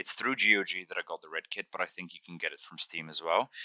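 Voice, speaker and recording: In a dry, close sound with no echo, a man mumbles with a bright, sharp tone. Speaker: gaming tutorial youtuber. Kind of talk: tutorial. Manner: mumbling; halting.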